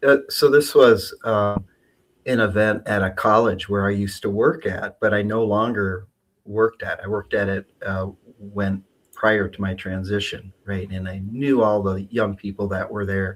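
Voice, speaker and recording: A man with a normal speaking voice talks at a moderate pace and fairly low pitch, with fairly even intonation, on a very clean recording with a silent background. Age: 60s. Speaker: community advocate and comedian. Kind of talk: interview. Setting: live stream.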